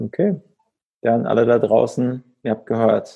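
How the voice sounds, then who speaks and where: A dark, mellow tone marks the man's medium-pitched voice. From northern German coast. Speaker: podcast host. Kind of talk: casual interview.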